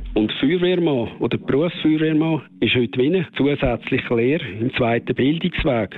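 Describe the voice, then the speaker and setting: This man speaks with a Swiss German accent. His intonation is lively and his pace moderate. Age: 50s. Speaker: professional firefighter. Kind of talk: interview answers.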